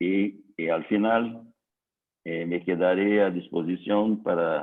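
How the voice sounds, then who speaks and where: A very slow, very deep male voice with fairly even intonation. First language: Portuguese (speaking Spanish). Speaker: civil engineer. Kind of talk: technical lecture. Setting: online conference. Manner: slow, hesitant.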